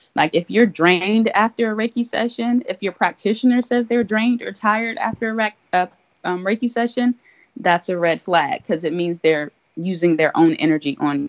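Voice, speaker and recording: Her intonation lively and her pace moderate, a woman speaks with a dry, close sound with no echo. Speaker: Reiki practitioner. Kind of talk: casual chat.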